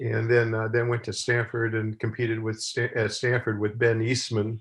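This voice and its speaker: A man with an American accent talks at a medium pitch, somewhat breathy, over a quiet background. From San Francisco, California. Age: 80s+. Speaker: retired college athletics director. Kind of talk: casual interview. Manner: halting, many fillers.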